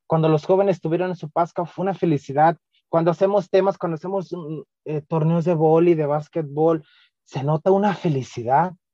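With a dark, mellow tone, a man speaks at a high pitch in a dry, close sound with no echo. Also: fairly even intonation, moderate pace. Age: 20s. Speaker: youth ministry coordinator. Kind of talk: podcast interview. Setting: video call.

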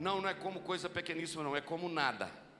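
Music plays in the background as a man speaks at a fairly quick pace. His pitch is high, with ordinary pitch variation. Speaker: pastor. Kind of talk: sermon. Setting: church.

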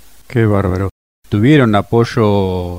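The man speaks at a very slow pace in a fairly low pitch. His pitch varies in an ordinary way. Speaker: radio host. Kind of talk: interview. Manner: formal.

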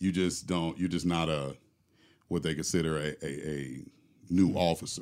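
At a moderate pace, a man speaks in a very deep, low pitch with vocal fry and monotone, flat intonation, leaving long, frequent pauses. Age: 40s. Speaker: police officer. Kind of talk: casual chat. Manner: halting.

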